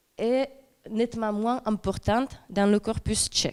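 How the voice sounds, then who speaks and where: A woman with a Czech accent, very slow, with fairly even intonation, on a very clean recording with a silent background. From Czech lands. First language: Czech (speaking French). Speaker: doctoral researcher. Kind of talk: academic conference talk. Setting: presentation with slides to audience. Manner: hesitant, many fillers.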